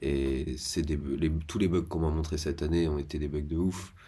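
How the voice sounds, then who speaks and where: A soft-spoken man with a very deep, low pitch and a dark, mellow tone speaks at a moderate pace, somewhat breathy. Audible room echo surrounds his voice. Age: 30s. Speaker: vlogger. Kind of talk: casual monologue. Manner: halting.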